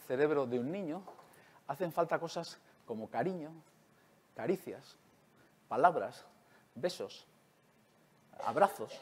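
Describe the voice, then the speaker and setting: This man's voice sits fairly high in pitch, and his intonation is lively. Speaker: neuroscientist; conference speaker. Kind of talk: lecture. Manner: fast. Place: hall.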